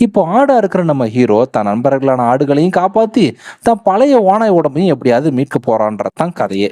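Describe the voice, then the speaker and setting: Fairly high male pitch with a dark, mellow tone, very wide pitch swings and very even loudness. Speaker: movie explainer voice-over narrator. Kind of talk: movie plot explanation narration. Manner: casual, lively storytelling.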